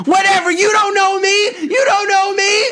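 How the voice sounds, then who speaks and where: Someone shouts in a put-on character voice at an extremely high pitch. The pace is moderate. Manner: screaming.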